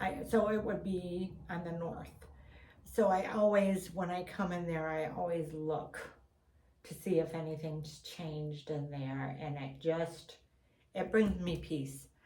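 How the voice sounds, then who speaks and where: At a very slow pace, a woman with fairly low pitch speaks with fairly even intonation and audible room echo. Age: 60s. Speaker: Bigfoot enthusiast vlogger. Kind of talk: casual monologue.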